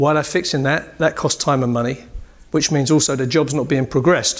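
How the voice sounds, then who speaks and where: This man speaks with a fairly high pitch. His delivery is very fast. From UK. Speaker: building commissioning engineer. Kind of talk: conference presentation. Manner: animated.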